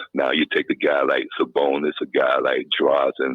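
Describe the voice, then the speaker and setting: A man speaks at a moderate pace with a North Carolina accent. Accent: Southern US (North Carolina). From US South, Kinston, North Carolina. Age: 60s. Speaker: caller. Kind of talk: phone-in call. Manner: halting, many fillers.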